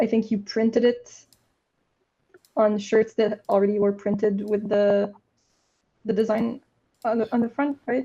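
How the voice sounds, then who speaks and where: In a Quebec accent, a woman with a fairly high pitch and a dark, mellow tone speaks fairly slowly and fairly evenly, leaving long, frequent pauses. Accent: Québécois French-accented English. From French Canada. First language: French. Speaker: indie game developer. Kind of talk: casual live Q&A chat.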